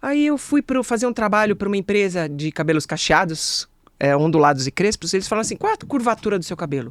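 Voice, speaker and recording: Very fast delivery on a very clean recording with a silent background. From Brazil, ABC region of São Paulo. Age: 60s. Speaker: sales speaker and expert. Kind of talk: podcast interview.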